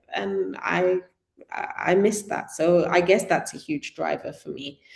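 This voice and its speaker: A woman with a British accent at a fairly slow pace. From Britain. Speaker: community organiser. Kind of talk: talk to an audience.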